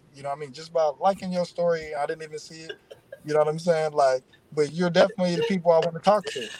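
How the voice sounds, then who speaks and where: Noticeable background noise sits under a man's fairly high voice at a very fast pace. His intonation is fairly even, though his loudness swings widely. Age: 30s. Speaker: entrepreneur and record label owner. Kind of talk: interview.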